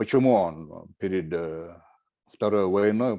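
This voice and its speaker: A man's fairly low, dark, mellow voice at a fairly slow pace, with ordinary pitch variation. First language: Chechen (speaking Russian). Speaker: writer and war veteran. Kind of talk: panel talk. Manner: halting, many fillers.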